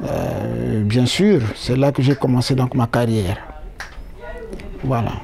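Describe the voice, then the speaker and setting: The speaker goes at a very slow pace with long, frequent pauses and very even loudness, over noticeable background noise. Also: man, medium pitch for a man, ordinary pitch variation. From Republic of the Congo, Brazzaville region. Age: 60s. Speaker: interviewee. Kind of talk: interview. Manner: hesitant with many fillers.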